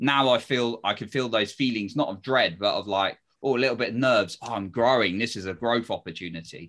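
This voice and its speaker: A man speaks in an ordinary speaking voice at medium pitch, with ordinary pitch variation and hardly any pauses. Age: 30s. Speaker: confidence coach and podcast host. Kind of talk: interview.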